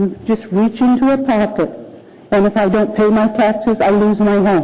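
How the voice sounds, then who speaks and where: A woman's fairly high voice moves with ordinary pitch variation. She talks at a moderate pace over noticeable background noise. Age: 70s. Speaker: public commenter at city assembly. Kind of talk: public testimony. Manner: halting.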